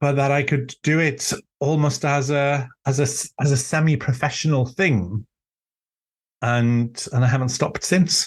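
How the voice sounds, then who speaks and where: A man speaks in a Welsh accent at a fairly slow pace, his voice somewhat breathy, his loudness very even, and his pitch variation ordinary. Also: fairly high pitch for a man. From Wales. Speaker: author and druid teacher. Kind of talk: casual chat. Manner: halting.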